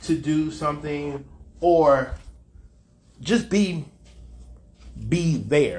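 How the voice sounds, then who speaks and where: A man's somewhat breathy, fairly high voice at a very slow pace, with ordinary pitch variation and audible room echo. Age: 50s. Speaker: podcast host. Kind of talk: personal monologue.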